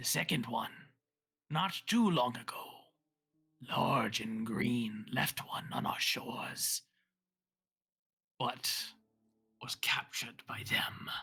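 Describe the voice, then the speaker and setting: Delivered at a fairly slow pace with long, frequent pauses, the put-on character voice is raspy and sits at a low-to-middle pitch. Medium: actual play. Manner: guarded, formal.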